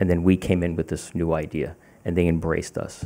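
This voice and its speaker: This man speaks with a very deep, low pitch and a dark, mellow tone. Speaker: keynote speaker, founding scholar. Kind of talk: keynote speech. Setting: stage with audience. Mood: warm, reflective. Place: hall. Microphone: podium.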